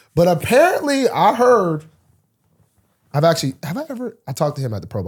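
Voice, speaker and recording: Talking at a very fast pace, a man with vocal fry swings his pitch very widely. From Alabama. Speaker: football player and co-host. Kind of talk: casual chat.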